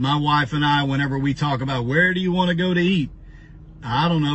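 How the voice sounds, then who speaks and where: Against light background noise, a man speaks with ordinary pitch variation in a dry recording with no echo. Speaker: pastor. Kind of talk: sermon-like personal talk. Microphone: phone near.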